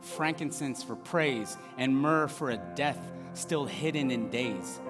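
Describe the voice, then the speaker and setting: A man talks at a very slow pace with a medium pitch. His pitch swings very widely, with music in the background. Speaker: spoken word performer. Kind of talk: spoken word poetry reading, rhythmic rhymed verse.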